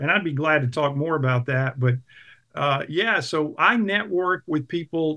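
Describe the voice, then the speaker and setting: Speaking in an unremarkable speaking voice, a man with an American accent talks at a fairly slow pace. His pitch is fairly high, with ordinary variation. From US South, South Carolina (Clemson). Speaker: house church leader. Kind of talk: interview.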